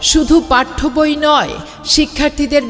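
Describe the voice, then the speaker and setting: This is a woman speaking. Music plays in the background. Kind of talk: promotional miking announcement.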